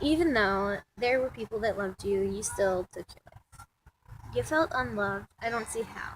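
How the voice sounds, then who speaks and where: Somewhat breathy, a woman talks at a moderate pace with big swings in loudness, in a dry, close sound with no echo. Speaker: vlogger and amateur writer. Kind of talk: casual vlog intro then reading own poem aloud. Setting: outdoors. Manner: halting, many ums.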